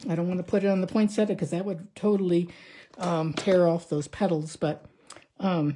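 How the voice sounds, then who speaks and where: At a moderate pace, the voice has a dark, mellow tone, is somewhat breathy and keeps a fairly even intonation. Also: woman, fairly low pitch for a woman. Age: 70s. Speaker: card-making crafter. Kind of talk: tutorial. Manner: casual, halting with fillers.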